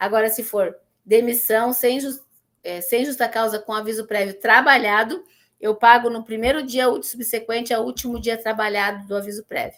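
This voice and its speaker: A woman's plain, everyday voice at a fairly high pitch, moderate in pace with fairly even intonation. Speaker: teacher. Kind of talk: lecture. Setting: classroom, streamed online.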